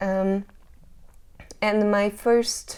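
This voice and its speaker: A woman with a Hungarian accent speaks at a very slow pace in a medium pitch, her dark, mellow tone carrying ordinary pitch variation. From Hungary, north of Budapest. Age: 30s. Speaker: jazz singer. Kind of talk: interview. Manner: halting.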